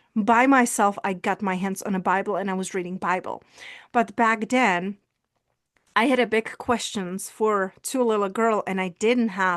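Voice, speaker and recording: With a Czech accent, a woman talks at a moderate pace and medium pitch with fairly even intonation, in a dry, close sound with no echo and a quiet background. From Czech Republic. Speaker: visibility coach and speaker. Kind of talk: personal testimony in interview.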